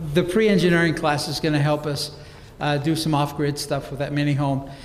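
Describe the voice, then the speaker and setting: There is noticeable background noise and audible room echo. A man speaks at a fairly high pitch. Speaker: career-technical education program director. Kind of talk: presentation to a school board. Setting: school board meeting with audience. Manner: fast; enthusiastic.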